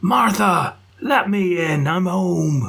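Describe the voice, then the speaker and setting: A man puts on a character voice at a high pitch. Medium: read story. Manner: gruff, grumbling.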